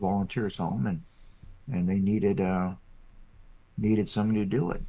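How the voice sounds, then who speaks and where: A man's fairly low, dark, mellow voice with an American accent. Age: 60s. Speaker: farmer. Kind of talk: interview. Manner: halting, many fillers.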